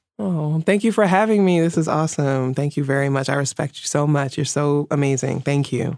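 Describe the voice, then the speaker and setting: The speaker has a New York accent and a fairly quick pace. There are hardly any pauses, and the pitch variation is ordinary. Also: woman, very deep, low pitch for a woman. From New York City (Bronx). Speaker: feminist writer and activist. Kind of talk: interview.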